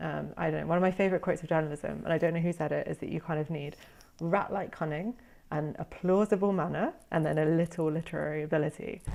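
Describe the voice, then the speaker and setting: A woman's very fast, fairly low-pitched voice with a British accent, vocal fry and fairly even intonation, on a very clean recording with a silent background. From Britain. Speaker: former journalist, SEO content specialist. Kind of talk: interview conversation. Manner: hesitant, many fillers.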